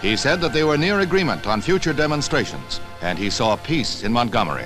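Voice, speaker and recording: A man at fairly high pitch, very wide pitch swings, fairly quick pace, music in the background. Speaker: newsreel narrator. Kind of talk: vintage newsreel narration.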